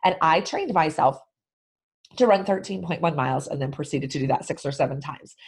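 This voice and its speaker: At a fairly quick pace, a woman with a very deep, low, somewhat breathy voice sounds enthusiastic, with lively intonation. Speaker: sales podcast host. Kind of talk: solo podcast monologue.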